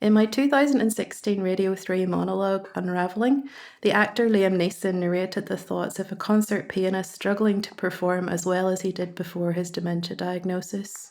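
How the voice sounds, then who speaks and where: A woman with a Northern Irish accent speaks at a fairly quick pace in a medium pitch, with fairly even intonation and hardly any pauses. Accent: Ballymena, Northern Irish. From Northern Ireland, Ballymena. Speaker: writer and community arts facilitator. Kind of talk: scripted narration.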